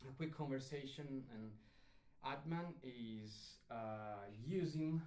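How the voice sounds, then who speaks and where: A man talks with a non-native accent and ordinary pitch variation. Room echo is audible. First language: not English. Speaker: musician and instrument demonstrator. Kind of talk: live stream tutorial. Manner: halting, many fillers.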